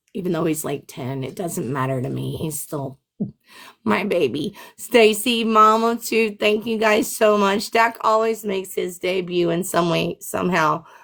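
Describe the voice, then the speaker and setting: The speaker has an animated tone, lively intonation and some vocal fry. The pace is fairly slow. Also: woman, medium pitch for a woman. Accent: American. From Memphis, Tennessee, US South. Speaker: live streamer. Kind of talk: livestream chat. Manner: loud.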